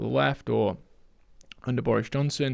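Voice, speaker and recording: A man with a Yorkshire accent at a fairly quick pace. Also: quiet background. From northern England, Sheffield, Yorkshire. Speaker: economist. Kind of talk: podcast interview. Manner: halting, many repetitions.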